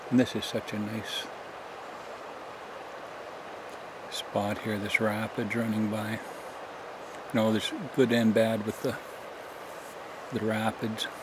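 A man's monotone, flat delivery with long, frequent pauses, a dry sound with no echo, and noticeable background noise. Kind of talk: casual vlog chat. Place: forest. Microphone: phone near.

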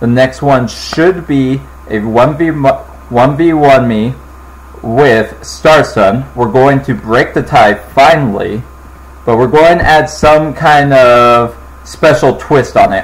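A man's very slow speech with ordinary pitch variation. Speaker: gaming channel host. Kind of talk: casual gaming commentary intro.

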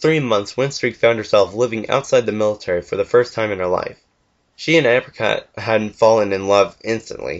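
Someone is reading aloud in a natural voice, with lively intonation. The background is quiet.

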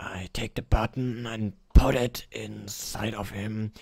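In a put-on character voice, a man speaks very slowly at a fairly low pitch. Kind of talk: comic overacting. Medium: machinima.

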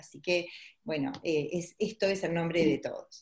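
A woman with a fairly low pitch speaks at a moderate pace with ordinary pitch variation. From Uruguay. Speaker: pediatrician. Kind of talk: webinar presentation; lecture. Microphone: webcam.

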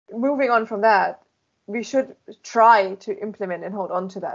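A woman with a German accent speaks at a moderate pace. Her pitch varies in an ordinary way over a quiet background. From Germany. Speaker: beamline scientist; guest. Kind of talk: interview. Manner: animated. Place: office. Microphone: headset.

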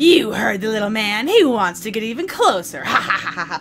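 Putting on a character voice, a woman speaks fairly high and fairly quickly over clear background noise. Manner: cackling, gleeful.

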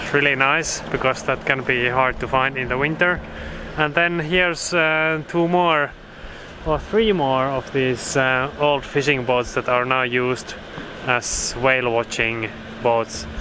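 A woman's very deep, low voice over noticeable background noise. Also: ordinary pitch variation, fairly slow pace, dry sound with no echo. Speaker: sailing vlogger. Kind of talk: casual vlog chat. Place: waterside. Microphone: phone near.

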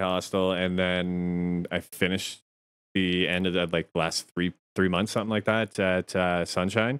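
A man with a Canadian accent and a fairly low pitch. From Chatham-London area, southwestern Ontario, Canada; Ontario. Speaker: podcast co-host. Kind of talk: casual chat. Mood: relaxed, joking. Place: home room. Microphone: studio mic.

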